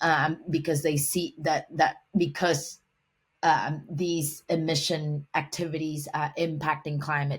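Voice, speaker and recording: At a very slow pace, a woman with a Vietnamese accent speaks in a somewhat breathy voice at a very deep, low pitch with monotone, flat intonation. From Vietnam, Hanoi. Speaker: humanitarian and environmental professional. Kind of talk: podcast interview. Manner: halting, many fillers and restarts.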